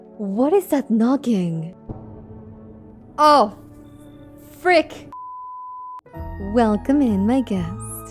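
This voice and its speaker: Over music in the background, a woman with a fairly high pitch speaks at a very slow pace, using very wide pitch swings and long, frequent pauses. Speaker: gaming ASMR streamer. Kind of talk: casual gameplay commentary, playthrough talk. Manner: soft-spoken, soothing.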